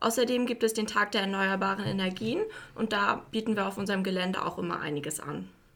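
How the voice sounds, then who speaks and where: Very fast speech from a woman at medium pitch, ordinary pitch variation, noticeable background noise behind her. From Mecklenburg-Vorpommern, Güstrow. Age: 20s. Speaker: industrial clerk apprentice. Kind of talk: interview.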